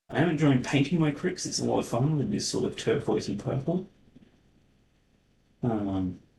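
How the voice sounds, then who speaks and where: Using an Australian accent, a man speaks with vocal fry and a dark, mellow tone, lively intonation, a moderate pace and long, frequent pauses. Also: medium pitch for a man. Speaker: wargaming channel host and event organiser. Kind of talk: casual chat. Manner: halting; whispering.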